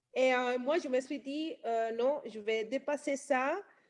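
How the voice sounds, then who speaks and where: A woman talks at a very slow pace with a non-native accent. Her pitch is high. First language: not French (speaking French). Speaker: nail technician and trainer. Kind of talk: testimony. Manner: halting, many hesitations.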